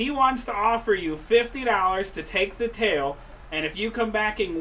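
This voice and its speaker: Noticeable background noise surrounds a man with a Boston accent and a high pitch. He speaks at a moderate pace with ordinary pitch variation. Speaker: race broadcast announcer. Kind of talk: live race broadcast. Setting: announcer booth. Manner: animated.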